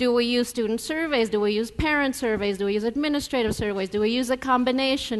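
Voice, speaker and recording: The speaker has a Spanish accent and talks at a fairly quick pace. Pitch variation is ordinary. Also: woman. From Denver, Colorado (Mexican-born, raised in US). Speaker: professor. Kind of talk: keynote speech. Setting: conference stage with audience.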